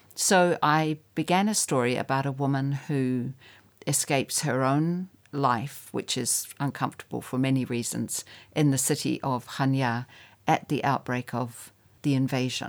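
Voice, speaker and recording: With a New Zealand accent, a woman talks at a very deep, low pitch. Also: ordinary pitch variation, fairly slow pace, very clean recording, silent background. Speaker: writer. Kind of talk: interview.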